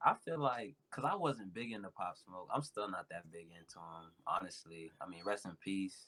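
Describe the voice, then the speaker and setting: A man's bright, sharp voice, fairly low in pitch, with lively intonation, big swings in loudness, a moderate pace and hardly any pauses. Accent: American. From South Florida (Broward County). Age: 20s. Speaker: rapper. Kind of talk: casual chat.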